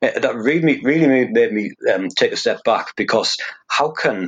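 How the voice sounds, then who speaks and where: A man with a Teesside accent talks over a quiet background. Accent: northern English (Teesside). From northeast England (Hartlepool, Teesside). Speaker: fingerprint expert. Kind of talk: interview.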